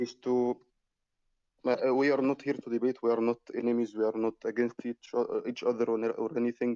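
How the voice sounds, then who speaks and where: A dark, mellow voice with an Arabic accent speaks at a moderate pace in a flat monotone. The sound is dry and close with no echo, broken by long, frequent pauses. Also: man. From Egypt. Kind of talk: online religious debate. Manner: halting.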